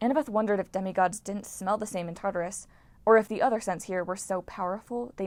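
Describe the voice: What is heard here is plain reading aloud.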